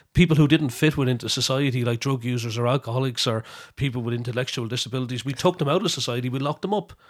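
Recorded very cleanly against a silent background, a man talks at a very fast pace with medium pitch and ordinary pitch variation. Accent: Wexford Irish. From Ireland, County Wexford. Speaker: historian, lecturer and folk radio presenter. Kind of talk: interview about personal recovery and drug policy.

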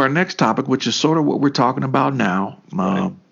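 This man talks at a medium pitch, and his pitch swings very widely. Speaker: podcast co-host. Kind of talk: casual political discussion.

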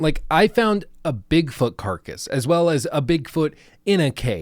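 The recording is very clean, with a silent background. A man does the talking. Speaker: video game critic youtuber. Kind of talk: scripted-style video critique with casual asides. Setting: studio, home recording. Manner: casual, joking, drinking while recording.

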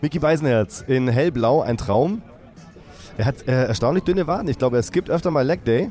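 Over noticeable background noise, a man with a fairly high pitch keeps his loudness very even. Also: lively intonation, moderate pace. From Stuttgart area, Germany. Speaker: podcast host. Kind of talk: casual chat.

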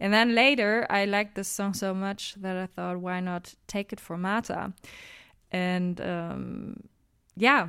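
In a German accent, the speaker's bright, sharp tone moves at a very slow pace with fairly even intonation on a very clean recording with a silent background. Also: woman, medium pitch for a woman. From Saxony, Germany. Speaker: a cappella singer and composer. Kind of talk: casual interview. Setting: radio studio.

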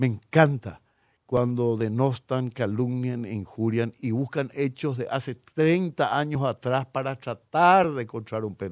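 Lively intonation marks a man's unremarkable speaking voice at a medium pitch, heard dry and close with no echo on a very clean recording with a silent background. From Paraguay. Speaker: politician, incoming justice minister. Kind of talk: radio interview. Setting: radio studio.

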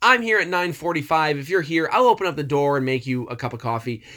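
Very wide pitch swings mark this man's speech. The recording is very clean with a silent background. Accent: Midwestern American. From US Midwest, Detroit area. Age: 30s. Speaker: wrestling podcaster and writer. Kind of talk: casual chat.

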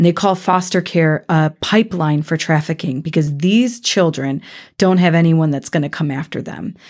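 A plain, everyday voice with an American accent, ordinary pitch variation and a moderate pace. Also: woman, fairly low pitch for a woman. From Ohio, Cleveland. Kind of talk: interview.

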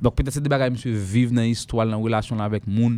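A man talks at a medium tempo in a dark, mellow tone. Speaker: radio host. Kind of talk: live radio show.

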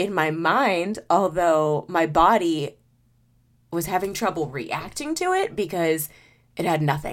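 Here is an unremarkable speaking voice with ordinary pitch variation. The pace is fairly slow. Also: woman, fairly low pitch for a woman. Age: 30s. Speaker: podcast host. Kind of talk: personal monologue. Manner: casual with frequent sighs and fillers.

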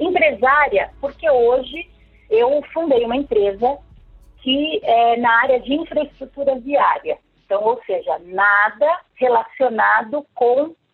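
A high-pitched woman's voice at a very slow pace, with very wide pitch swings and music in the background. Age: 40s. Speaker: lawyer and entrepreneur. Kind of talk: podcast interview.

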